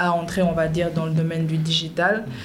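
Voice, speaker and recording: There is audible room echo along with noticeable background noise. The woman's pitch sits fairly low. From Senegal, Dakar. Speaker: content creator and TV presenter. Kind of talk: podcast interview.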